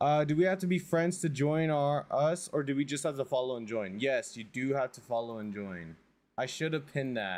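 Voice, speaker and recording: The man's voice sits at a fairly high pitch and moves at a moderate pace. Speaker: gaming streamer. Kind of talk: live stream commentary. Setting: home with family over. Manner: casual, repetitive; quieter than usual.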